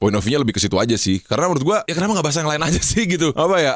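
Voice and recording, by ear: A man talks at a very fast pace. His pitch varies in an ordinary way.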